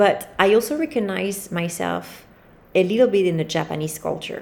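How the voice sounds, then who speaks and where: With a French accent, a woman speaks at a medium pitch and with lively intonation. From France, Paris. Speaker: podcast host. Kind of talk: solo monologue, casual talk to listeners. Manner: relaxed, freestyle, rambling with fillers.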